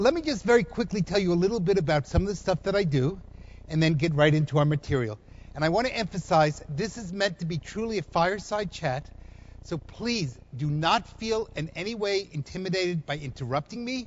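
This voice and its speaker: In a New Jersey accent, a man talks at a fairly quick pace with a high pitch. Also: lively intonation. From New Jersey, US. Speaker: economic development expert, speaker. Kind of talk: public talk to audience.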